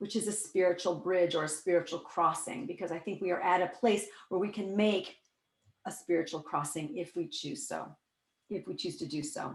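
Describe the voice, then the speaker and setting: With an American accent, a woman talks at medium pitch and a fairly quick pace in an animated tone. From US Midwest, Iowa. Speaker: workshop leader, spiritual teacher. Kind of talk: online workshop talk. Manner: fast.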